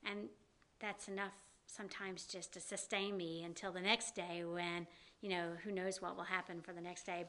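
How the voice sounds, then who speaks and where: With a slight Southern US accent, a woman talks at a moderate pace in a bright, sharp tone and monotone, flat intonation. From US South. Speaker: downtown business district director. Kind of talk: interview.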